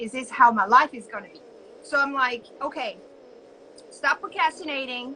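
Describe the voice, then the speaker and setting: A woman with a French accent speaks in a raised, projected voice at a high pitch. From France, suburb of Paris. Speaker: entrepreneur and business coach. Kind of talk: casual interview.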